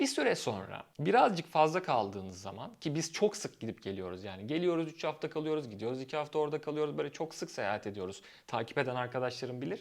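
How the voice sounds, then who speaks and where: On a very clean recording with a silent background, a man speaks fairly quickly at a fairly high pitch. His voice has vocal fry and very wide pitch swings. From Turkey, Izmir. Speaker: YouTuber on life in Germany. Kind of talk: casual vlog monologue.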